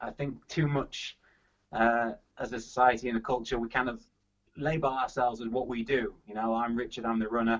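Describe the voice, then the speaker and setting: A man with a Yorkshire accent speaks at a fairly quick pace and medium pitch, his intonation monotone and flat. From Yorkshire, England. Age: 30s. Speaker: athlete and actor. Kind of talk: casual interview chat.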